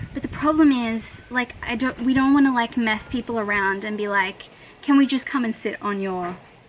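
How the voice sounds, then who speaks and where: A woman speaks with an Australian accent at a fairly quick pace. Her pitch varies in an ordinary way, with noticeable background noise behind her. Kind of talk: casual talk to camera. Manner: rambling, chatty.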